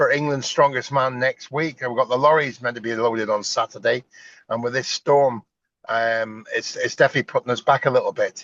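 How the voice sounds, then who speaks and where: A man with a Northern Irish accent at a fairly quick pace, in a dry, close sound with no echo and a quiet background. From Northern Ireland. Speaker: strongman competition promoter, former strongman. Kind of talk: interview. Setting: sitting in a car.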